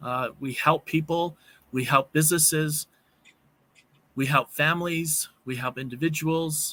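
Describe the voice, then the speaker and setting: With a slight Canadian accent and a fairly high pitch, a man speaks in a bright, sharp tone at a fairly slow pace, with fairly even intonation, long, frequent pauses and a dry, close sound with no echo. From Canada. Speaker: networking program member. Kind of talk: panel discussion.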